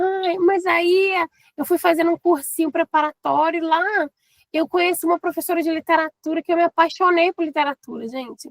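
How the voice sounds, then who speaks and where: Speaking with a mineiro accent, a woman talks at a fairly quick pace in an extremely high pitch with fairly even intonation, the sound dry and close with no echo. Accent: non-Rio accent, mineiro. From eastern Minas Gerais, Brazil (Governador Valadares). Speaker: teacher and teacher trainer. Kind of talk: casual interview.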